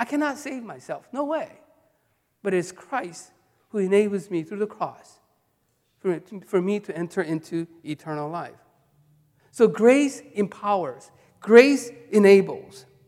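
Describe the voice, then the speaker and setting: This speaker talks at a fairly slow pace in a Korean accent. The speech is broken by long, frequent pauses. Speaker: pastor. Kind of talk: sermon. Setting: church. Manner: halting.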